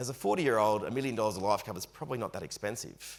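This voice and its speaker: Speaking at a very fast pace, a man with an Australian accent uses ordinary pitch variation. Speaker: financial advice presenter. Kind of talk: webinar presentation.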